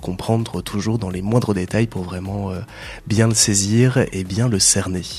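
A man talks at a fairly slow pace in a fairly low, monotone, flat voice. Noticeable background noise runs behind him. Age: 30s. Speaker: radio presenter and volunteer coordinator. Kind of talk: radio interview.

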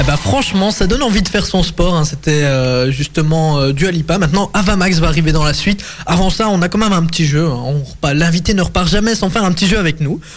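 A high-pitched man speaks at a very fast pace with hardly any pauses, his loudness very even and his pitch variation ordinary. Noticeable background noise runs behind him. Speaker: student radio host. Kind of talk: casual radio show. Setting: video call. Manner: animated.

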